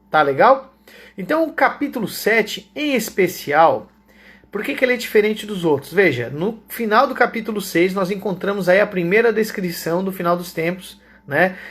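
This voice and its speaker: Here a man speaks at a high pitch with lively intonation. He keeps a moderate pace. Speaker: Bible teacher. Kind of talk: Bible study lecture.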